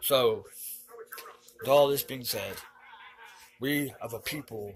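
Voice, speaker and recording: A man speaks at a moderate pace in a medium-pitched, somewhat breathy voice. His delivery is neither rushed nor drawn out. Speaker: online commentator. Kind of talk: monologue.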